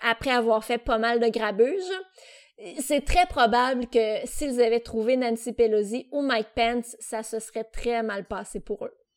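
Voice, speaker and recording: Fairly even intonation marks the speech, which proceeds at a fairly slow pace. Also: woman, fairly high pitch for a woman. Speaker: podcast co-host. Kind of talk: casual chat. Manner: loud at times; very expressive.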